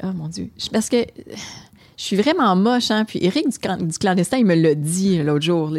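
A woman with a Quebec accent, medium in pitch, at a moderate pace with lively intonation. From Quebec, Hull (Gatineau). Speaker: restaurant owner. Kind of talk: casual chat.

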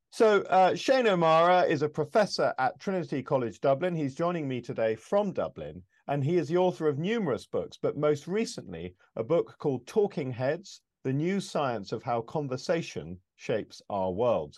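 Against a quiet background, a man with a British accent talks at a moderate pace, his fairly high pitch swinging very widely. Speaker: podcast host. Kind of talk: interview conversation.

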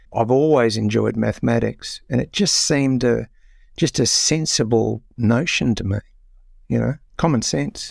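Someone talks at a moderate pace with an Australian accent. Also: man. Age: 60s. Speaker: author and investor. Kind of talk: interview.

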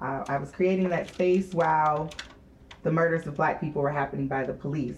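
This woman has an American accent. Her pitch varies in an ordinary way. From US Midwest. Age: 30s. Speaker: nonprofit founder and executive director. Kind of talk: panel discussion. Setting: stage with audience.

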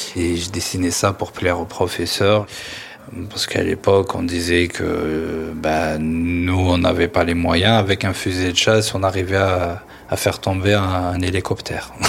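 Noticeable background noise surrounds a man with a very deep, low voice. He speaks at a fairly slow pace with monotone, flat intonation. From Algeria, Kabylie. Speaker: interviewee sharing family history. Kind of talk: personal testimony. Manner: hesitant, with fillers and repetitions.

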